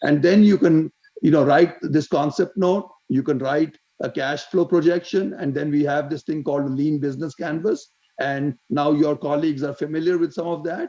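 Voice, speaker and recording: A man speaks at a fairly high pitch with a dark, mellow tone. His pace is moderate and his intonation fairly even. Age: 70s. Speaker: retired volunteer development advisor. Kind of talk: panel discussion. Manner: halting, many repetitions.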